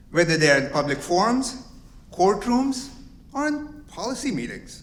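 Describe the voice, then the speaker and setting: With audible room echo, a man speaks at a moderate pace using very wide pitch swings. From immigrant to the US at 22. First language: not English. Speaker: company executive, lawyer. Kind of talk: welcome speech.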